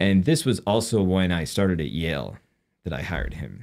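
A man speaks at a moderate pace in a low, slightly mellow voice with vocal fry and big pitch swings, on a very clean recording with a silent background.

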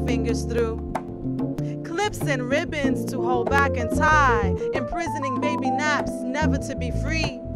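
A woman talks over loud music in the background. The sound is dry, with no echo. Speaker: poet. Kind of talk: spoken word poetry performance. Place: street. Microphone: studio mic.

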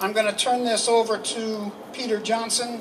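A man's extremely high-pitched voice, fairly slow and fairly even in intonation, over noticeable background noise. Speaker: anti-death-penalty activist speaker. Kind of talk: rally speech. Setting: stage with audience at a rally. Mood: earnest, indignant. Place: street. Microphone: handheld.

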